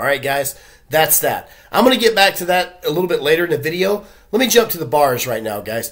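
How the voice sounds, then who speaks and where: The background stays quiet while a man speaks. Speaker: vlogger giving nightlife updates. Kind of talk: casual vlog chat. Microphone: webcam.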